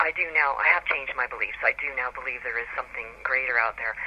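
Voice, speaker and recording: Over noticeable background noise, a voice with an American accent moves at a fairly quick pace. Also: woman. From US Pacific Northwest, Seattle. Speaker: author. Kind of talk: radio interview.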